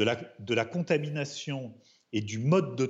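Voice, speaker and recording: This man's voice is somewhat breathy, with very wide pitch swings. He speaks at a fairly slow pace. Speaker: criminal defense lawyer. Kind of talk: studio debate interview.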